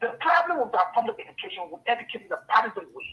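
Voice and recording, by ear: A man speaks at a very fast pace with an extremely high pitch and big pitch swings. His voice has a husky, rough edge.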